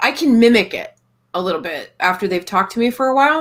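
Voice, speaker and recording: In a very clean recording with a silent background, a woman speaks fairly quickly with an American accent. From Texas. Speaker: live stream panel host. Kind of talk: casual chat.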